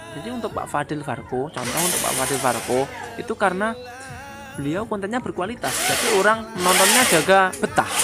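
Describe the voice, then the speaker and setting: Fairly quick speech with a Javanese accent and music in the background. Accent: Javanese-accented Indonesian (medok). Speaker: YouTuber, motorcycle workshop mechanic. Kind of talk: casual motivational vlog. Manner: hesitant with frequent fillers.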